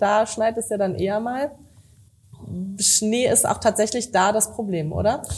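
A woman talks at a moderate pace with fairly even intonation and a fairly high pitch, an ordinary speaking voice. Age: young. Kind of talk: scripted outro; casual interview.

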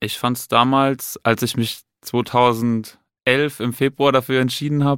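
With an unremarkable speaking voice, a man of medium pitch talks at a moderate pace in a dry, close sound with no echo on a very clean recording with a silent background. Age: 20s. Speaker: police detective. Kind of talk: casual interview. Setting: studio.

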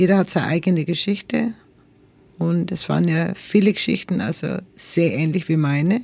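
A woman speaks with vocal fry at a moderate pace. Her fairly low pitch has a dark, mellow tone and ordinary pitch variation. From Nuremberg, Franconia, Germany. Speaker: interviewee sharing life story. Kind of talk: interview. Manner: halting.

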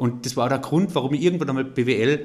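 A man's ordinary speaking voice at medium pitch, fairly quick in pace, with ordinary pitch variation. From Austria, Carinthia. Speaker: entrepreneur. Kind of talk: interview.

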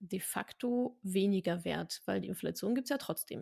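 A woman talks at a fairly slow pace in a dry, close recording with no echo. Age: 30s. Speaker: personal finance educator. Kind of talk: interview.

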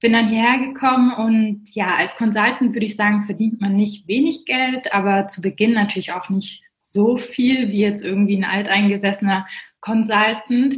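At a moderate pace and with hardly any pauses, a woman speaks in a normal speaking voice, fairly high in pitch, with fairly even intonation. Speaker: management consultant and finance blogger. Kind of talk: casual interview.

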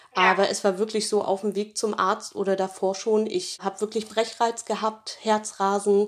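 This is a woman's voice. Her pitch is medium. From northern Germany. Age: 30s. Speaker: dental phobia patient. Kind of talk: testimony.

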